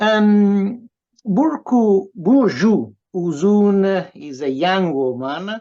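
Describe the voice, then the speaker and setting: The voice carries an Italian accent and a dark, mellow tone. Its pitch swings very wide. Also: man. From Italy. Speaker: professor and writer. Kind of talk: interview introduction. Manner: halting, many fillers.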